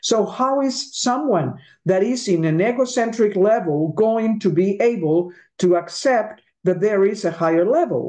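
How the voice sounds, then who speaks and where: Speaking with a Spanish accent, a woman uses a medium pitch and lively intonation. Her pace is fairly slow and her loudness very even. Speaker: interviewer. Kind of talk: interview. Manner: halting.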